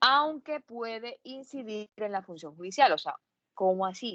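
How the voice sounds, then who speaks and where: Lively intonation marks a woman's moderate-paced speech in a dry, close sound with no echo. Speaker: law lecturer. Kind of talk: lecture. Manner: hesitant with fillers.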